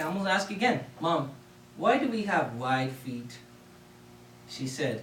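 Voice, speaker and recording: A man with a Spanish accent and very wide pitch swings, amid audible room echo and noticeable background noise. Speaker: public speaker. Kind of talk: contest speech. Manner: animated.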